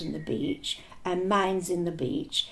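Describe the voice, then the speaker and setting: The pace is fairly slow. Vocal fry runs through the speech. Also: woman. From Argentina. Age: old. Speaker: war veteran. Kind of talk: interview answer.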